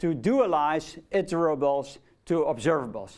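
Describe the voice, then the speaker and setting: With a Dutch accent, a man speaks very slowly and with lively intonation. The recording is very clean, the background silent. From Netherlands. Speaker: lecturer. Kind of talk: lecture. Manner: casual, with fillers.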